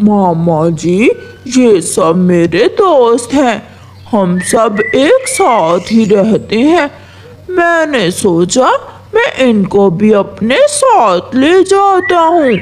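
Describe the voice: Light background noise sits behind a cartoonish character voice with a fairly high pitch. It moves at a very slow pace with very wide pitch swings.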